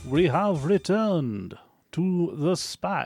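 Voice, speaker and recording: A man speaks in a put-on character voice, pitched high and delivered at a very slow pace. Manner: dramatic and spooky.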